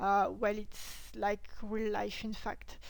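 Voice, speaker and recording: A woman with a plain, everyday voice at a fairly slow pace, with fairly even intonation. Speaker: historical costumer. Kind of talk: casual talk to camera, tutorial advice.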